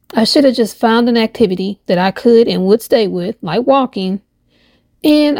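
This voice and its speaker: In an American accent, a woman with a plain, everyday voice talks at a fairly quick pace and a fairly high pitch, her intonation lively, on a very clean recording with a silent background. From Indiana. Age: 50s. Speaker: podcaster. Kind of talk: personal monologue; reading aloud.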